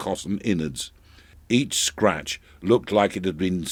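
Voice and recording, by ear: The pitch varies in an ordinary way as someone is reading aloud in a natural voice.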